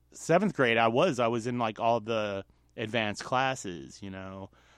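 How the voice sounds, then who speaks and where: A man's ordinary speaking voice at medium pitch and moderate pace, in a dry, close sound with no echo over a quiet background. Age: 40s. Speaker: solo podcaster. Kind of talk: personal monologue.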